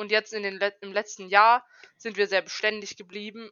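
An unremarkable speaking voice moving along at a moderate pace. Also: woman. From Germany, Karlsruhe (Baden). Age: 20s. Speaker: trainee educator. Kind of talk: casual chat. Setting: remote call from home.

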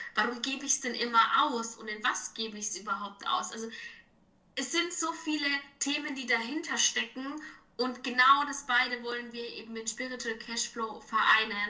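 A woman with a slight Franconian accent speaks at a moderate pace in a high pitch with ordinary pitch variation. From Franconia, Germany. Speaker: financial advisor. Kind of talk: casual chat.

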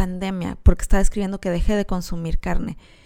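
With a Mexican accent, a woman talks very fast in a dark, mellow tone with ordinary pitch variation. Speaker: podcast host and animal rights columnist. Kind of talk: solo podcast monologue.

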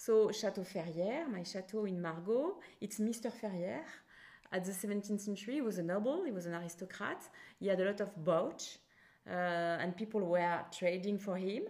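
Speaking at a moderate pace, a woman with a French accent uses a medium pitch and ordinary pitch variation. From France; Bordeaux. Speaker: winemaker. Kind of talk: casual interview.

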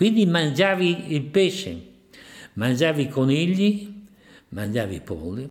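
Speaking at a very slow pace with long, frequent pauses, a man with a fairly high pitch swings very widely in pitch. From Ferrara province, Italy. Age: 90s. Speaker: eyewitness. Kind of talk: testimony.

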